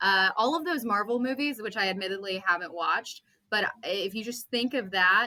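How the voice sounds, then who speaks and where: With a Texan accent, a woman speaks in a bright, sharp tone. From Central Texas, small town. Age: 30s. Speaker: podcast guest. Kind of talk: casual chat.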